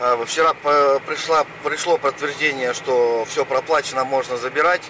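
A man speaks at a fairly slow pace with fairly even intonation. The sound is dry with no echo, and there is noticeable background noise. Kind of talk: casual vlog chat. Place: car. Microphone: camera far.

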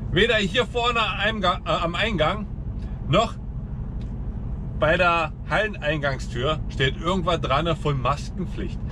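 A man speaks at a very slow pace. Noticeable background noise is present. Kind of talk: casual vlog chat. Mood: annoyed, ranting. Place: car. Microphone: camera far.

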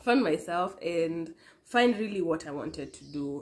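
The speaker is a woman. Her pitch sits fairly low. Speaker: vlogger. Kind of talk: casual vlog chat, personal testimony. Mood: warm, playful then earnest. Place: home room.

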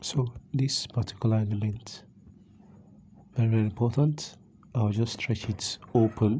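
With long, frequent pauses, a man speaks in a somewhat breathy voice, keeping very even loudness and fairly even intonation. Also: medium pitch for a man, fairly slow pace. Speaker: graphic design tutor. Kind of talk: screen-recorded software tutorial. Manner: casual, conversational.

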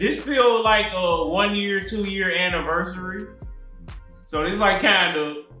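A man talks at a fairly slow pace in a high pitch with ordinary pitch variation. Audible room echo and faint background music are present. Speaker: podcast co-host. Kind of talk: casual podcast chat. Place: home room.

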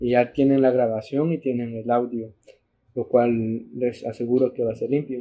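With monotone, flat intonation, a man talks at medium pitch and a moderate pace. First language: bilingual Spanish and English (speaking Spanish). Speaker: podcast host. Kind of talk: casual chat. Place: home room. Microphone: studio mic.

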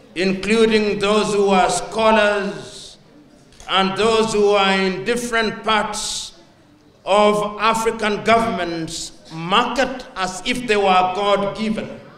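A man speaks very slowly at a high pitch with monotone, flat intonation, and audible room echo surrounds his voice. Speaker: guest. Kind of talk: speech. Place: hall. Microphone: handheld.

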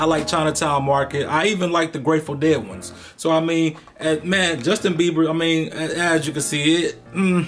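At a moderate pace and with fairly even intonation, the voice runs over faint background music. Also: man. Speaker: sneaker reviewer. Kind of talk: casual product review. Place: home room.

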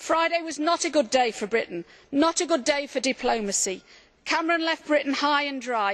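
A high-pitched woman at a moderate pace against a quiet background. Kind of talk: parliamentary speech. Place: hall. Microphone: podium.

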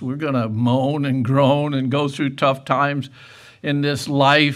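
A man's monotone, flat intonation at a fairly slow pace, over a quiet background. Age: 70s. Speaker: preacher. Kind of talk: sermon. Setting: church. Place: church.

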